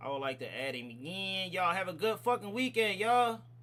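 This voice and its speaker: A man's raised, projected voice, high in pitch, bright and sharp in tone, animated, with lively intonation at a moderate pace. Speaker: livestream reaction host. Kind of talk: livestream sign-off chat. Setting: livestream.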